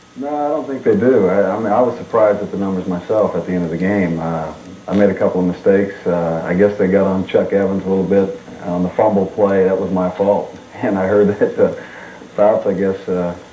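Against light background noise and audible room echo, a man speaks at a fairly quick pace. His voice is fairly low, with fairly even intonation. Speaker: guest. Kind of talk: interview answer. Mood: calm, self-critical. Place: studio.

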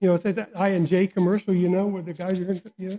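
Over a quiet background, a man talks in a dark, mellow tone. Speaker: guest preacher. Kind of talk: sermon. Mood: warm, smiling. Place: church. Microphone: headset.

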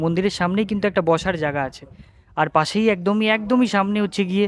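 A man speaks with ordinary pitch variation. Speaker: travel vlogger. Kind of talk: travel vlog narration. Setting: outdoors at a temple. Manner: casual, unscripted.

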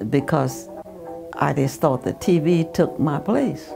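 Someone with an American accent speaks at a very slow pace while music plays clearly in the background. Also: woman. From Southern United States. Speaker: retired real estate agent and nurse. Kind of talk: oral history interview answer. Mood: warm, amused storytelling. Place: home room.

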